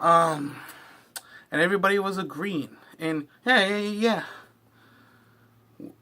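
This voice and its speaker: At a fairly slow pace, a man speaks in a bright, sharp tone with ordinary pitch variation. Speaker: wrestling reaction youtuber. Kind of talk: casual video commentary. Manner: halting, stumbling over words.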